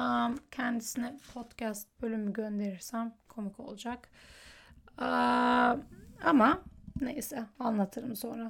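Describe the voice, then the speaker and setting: The voice is somewhat breathy and moves at a very slow pace. Intonation stays fairly even. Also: woman, fairly high pitch for a woman. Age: 20s. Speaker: solo podcaster. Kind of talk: personal monologue.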